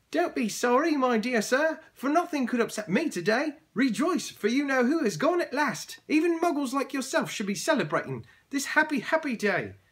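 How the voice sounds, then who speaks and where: A man's squeaky, put-on character voice, extremely high in pitch, at a moderate pace with hardly any pauses. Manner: jubilant, delighted.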